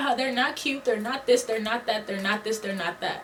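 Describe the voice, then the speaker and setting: Noticeable background noise behind a woman's voice. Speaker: beauty and lifestyle vlogger. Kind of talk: casual advice vlog rant. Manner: casual, conversational slang.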